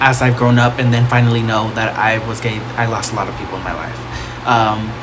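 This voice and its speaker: A man at medium pitch talks at a fairly quick pace in a monotone, flat intonation. Audible room echo and noticeable background noise surround him. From Texas, Plano/Dallas. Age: 20s. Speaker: makeup vlogger. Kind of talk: casual vlog tutorial.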